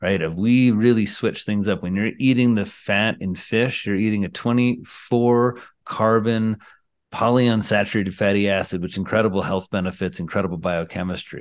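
With an unremarkable speaking voice, a man talks at a moderate pace and fairly low pitch, fairly even intonation, over a quiet background. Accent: American. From rural Indiana, US Midwest. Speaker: psychiatrist. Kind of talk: interview.

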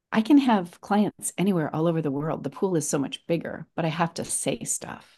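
A woman with an American accent and an unremarkable speaking voice talks at a moderate pace with hardly any pauses, her fairly low pitch carrying lively intonation. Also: quiet background. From Los Angeles. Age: 60s. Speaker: fitness and health coach, former actress. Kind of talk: casual interview chat.

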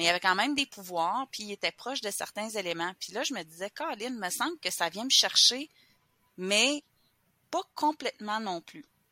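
Recorded very cleanly with a silent background and a dry, close sound with no echo, a woman speaks at a moderate pace. Her bright, sharp, fairly high voice has lively intonation and big swings in loudness. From Quebec. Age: 40s. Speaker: witch and wellness practitioner. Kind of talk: casual interview. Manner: hesitant, many fillers.

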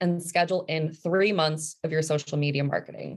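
With an American accent and an unremarkable speaking voice, a woman talks at a moderate pace, her pitch fairly low and her intonation fairly even. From New Jersey. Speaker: marketing consultant, business owner. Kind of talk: interview.

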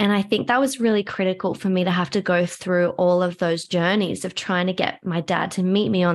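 A woman speaks at a moderate pace with a medium pitch and fairly even intonation, in a normal speaking voice. The recording is very clean, with a silent background. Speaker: somatic trauma educator and practitioner. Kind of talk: personal story interview.

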